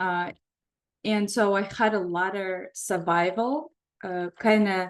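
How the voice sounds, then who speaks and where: Very slowly, a woman speaks with an Eastern European accent. Her pitch sits in the medium range. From Belarus. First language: Russian. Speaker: psychotherapist leading a workshop. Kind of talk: online workshop talk. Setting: video call.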